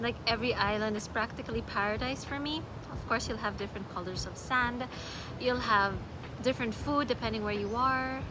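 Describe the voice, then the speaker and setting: Amid noticeable background noise and audible room echo, a woman with a Filipino accent speaks at a fairly quick pace in a fairly high pitch with fairly even intonation. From Philippines, Manila. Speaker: travel vlogger. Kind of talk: casual vlog talk. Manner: halting with fillers.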